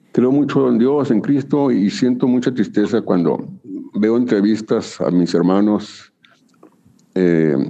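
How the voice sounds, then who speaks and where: Speaking at a very slow pace, the man uses lively intonation. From northern Mexico, Chihuahua. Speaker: rock musician and singer-songwriter. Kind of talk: casual interview.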